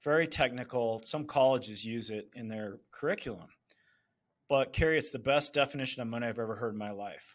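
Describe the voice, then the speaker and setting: With an ordinary speaking voice, a man talks at a fairly quick pace and medium pitch, showing ordinary pitch variation and big swings in loudness, on a very clean recording with a silent background. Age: 50s. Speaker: author and financial entrepreneur. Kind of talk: casual interview chat.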